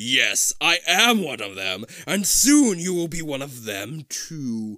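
Using a put-on character voice, a man growls at a fairly slow pace and fairly high pitch, with very wide pitch swings. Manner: growling, menacing.

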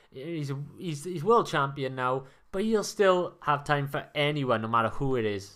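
A man in a Welsh accent, with a fairly high pitch, lively intonation and a moderate pace, on a very clean recording with a silent background. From Wales. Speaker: sports podcast co-host. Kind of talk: reading aloud; casual sports chat.

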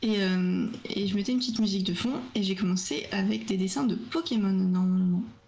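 In a room with audible echo, a woman at a medium pitch speaks at a fairly quick pace with ordinary pitch variation and very even loudness. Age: 20s. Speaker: art student and streamer. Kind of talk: casual interview.

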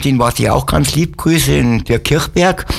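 A man's fairly high voice at a moderate pace with ordinary pitch variation, over noticeable background noise. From Upper Bavaria (Wolfratshausen). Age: 60s. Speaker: musician and sled dog musher. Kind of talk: casual interview chat. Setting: radio studio.

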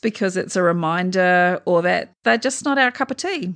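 Speaking at a moderate pace with a New Zealand accent, a woman uses medium pitch and lively intonation. The background is quiet. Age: 40s. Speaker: podcast host. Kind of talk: casual chat.

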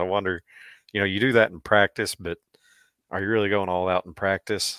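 A man talks at a moderate pace with low pitch and fairly even intonation. His tone is bright and sharp, and the sound is dry and close with no echo.

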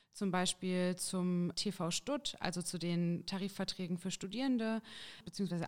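A woman's ordinary speaking voice, medium in pitch, at a fairly slow pace with fairly even intonation, on a very clean recording with a silent background. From Thuringia, Jena. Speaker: trainee teacher and union youth activist. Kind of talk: interview. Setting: studio.

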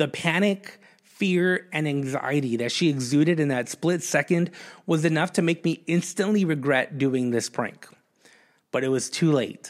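In a very clean recording with a silent background, a man with an ordinary speaking voice talks at a fairly high pitch and moderate pace, with ordinary pitch variation. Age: 30s. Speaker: pastor. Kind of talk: sermon. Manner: conversational, with frequent fillers.

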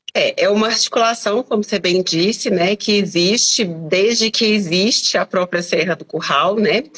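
A woman at a medium pitch, moderate pace and hardly any pauses, over noticeable background noise. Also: ordinary pitch variation. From Brazil, Belo Horizonte (Minas Gerais). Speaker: teacher and environmental activist. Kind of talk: live online interview.

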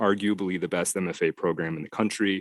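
A man speaks fairly slowly with an American accent, in an ordinary speaking voice. The sound is dry and close with no echo. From Detroit, US Midwest. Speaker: novelist. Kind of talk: interview conversation.

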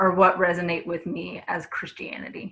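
A woman puts on a booming character voice, fairly low in pitch. She keeps a moderate pace and fairly even intonation. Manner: declamatory.

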